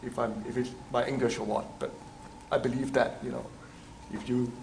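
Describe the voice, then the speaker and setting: A man with a non-native accent talks at a fairly quick pace in a medium pitch, with noticeable background noise and audible room echo. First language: not English. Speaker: teaching assistant. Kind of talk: lecture. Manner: halting.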